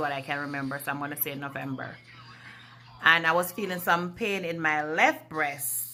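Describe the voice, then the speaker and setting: This woman's voice sits at a fairly low pitch. Her tone is bright and sharp. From Jamaica. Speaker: vlogger. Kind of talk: personal vlog, health story. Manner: deliberately slow and clear.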